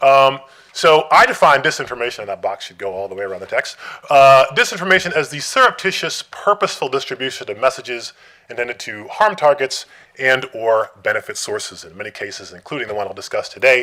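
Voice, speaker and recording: The delivery runs at a very fast pace with very wide pitch swings. Loudness swings widely too. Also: man, fairly high pitch for a man. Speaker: academic researcher. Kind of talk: conference talk. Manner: hesitant with many fillers.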